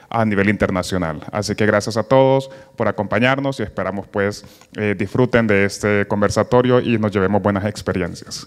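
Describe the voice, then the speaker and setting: A man with a plain, everyday voice talks at a fairly quick pace. His pitch is fairly low, his intonation fairly even, and the background quiet. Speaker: cluster project specialist. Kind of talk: welcome speech. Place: hall. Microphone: handheld.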